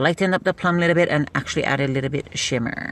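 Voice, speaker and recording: A woman's very deep, low voice at a very fast pace, with noticeable background noise. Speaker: beauty product seller livestreamer. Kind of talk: casual live stream chat.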